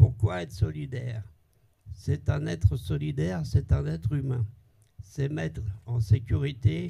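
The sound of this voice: Slow and medium-pitched, a man's voice has a dark, mellow tone, vocal fry, a slightly husky edge and ordinary pitch variation.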